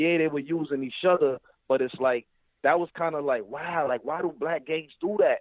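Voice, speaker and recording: Here a man speaks in a New York accent at a moderate pace. His pitch is fairly high, with ordinary pitch variation. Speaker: caller. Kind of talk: call-in discussion.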